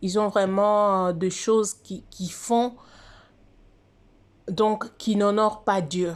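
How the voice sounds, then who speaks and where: The speech moves at a very slow pace with fairly even intonation and long, frequent pauses. It is a very clean recording with a silent background. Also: woman. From DR Congo or Congo. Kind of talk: casual monologue on religious prophecy. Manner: halting, many hesitations.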